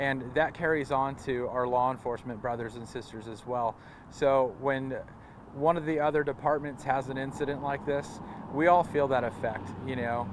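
The sound is dry with no echo, and noticeable background noise is present. A man talks at a moderate pace with fairly even intonation. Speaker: fire agency spokesman. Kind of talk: interview answer. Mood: sombre but composed. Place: street.

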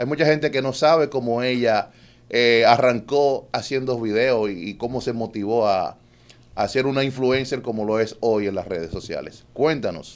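A man's moderate pace with ordinary pitch variation. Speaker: podcast host. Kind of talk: casual chat. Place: studio. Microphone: studio mic.

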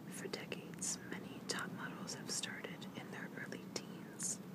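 Whispering and soft-spoken at a fairly slow pace, the voice sounds dry with no echo over loud background noise. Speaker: vlogger reading news. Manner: soft whispered reading of news text. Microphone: phone near.

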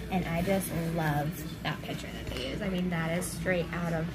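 A woman speaks at a moderate pace. Loud background noise runs behind her. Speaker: food reviewer. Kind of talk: casual food review chat. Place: cafe. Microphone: phone near.

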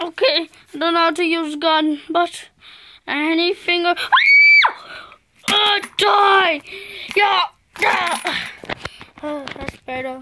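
A cartoonish character voice shouts at an extremely high pitch. The pace is very slow, with long, frequent pauses. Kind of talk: improvised puppet play. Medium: puppet. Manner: excited, playful.

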